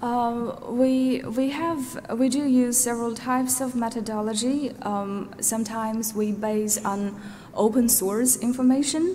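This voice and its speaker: A woman with a Xinjiang accent speaks at a fairly slow pace and with fairly even intonation, with audible room echo and noticeable background noise. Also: fairly high pitch for a woman. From Uyghur, raised in Norway. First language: Uyghur. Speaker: researcher and witness. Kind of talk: tribunal testimony. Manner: hesitant, many fillers.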